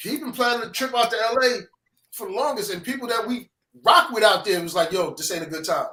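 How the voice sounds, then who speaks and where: A man speaks in a raised, projected voice at an extremely high pitch. His tone is bright and sharp, with a strong New York accent. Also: big swings in loudness. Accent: New York accent, still strong. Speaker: music producer. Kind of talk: casual chat.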